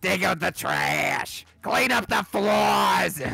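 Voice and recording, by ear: A raspy, put-on character voice delivers its lines at a very slow pace. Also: man.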